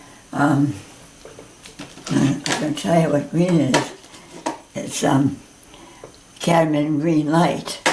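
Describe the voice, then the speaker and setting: A woman with a very deep, low pitch speaks at a very slow pace, leaving long, frequent pauses. Her intonation is fairly even, and the recording carries audible room echo and noticeable background noise. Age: 90s. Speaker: painting teacher. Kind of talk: tutorial. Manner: halting.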